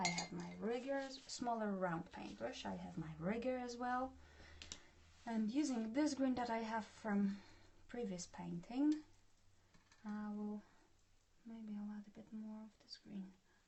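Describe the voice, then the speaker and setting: A somewhat breathy woman with a Polish accent, fairly high in pitch, at a fairly slow pace with long, frequent pauses and big swings in loudness. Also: ordinary pitch variation. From Poland. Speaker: art tutor. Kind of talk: tutorial. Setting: live stream.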